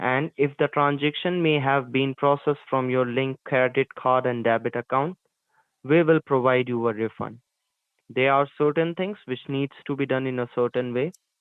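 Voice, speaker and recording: A man talks at a moderate pace and medium pitch in a plain, everyday voice with fairly even intonation. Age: 20s. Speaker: phone scammer. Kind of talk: scripted phone support pitch. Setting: phone call. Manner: formal.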